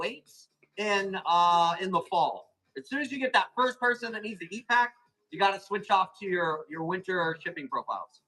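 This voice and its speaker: At a moderate pace, a raised, projected voice with a bright, sharp tone shows ordinary pitch variation and big swings in loudness. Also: man. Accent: American. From Arizona, US. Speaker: plant seller hosting live auctions. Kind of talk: live sales stream.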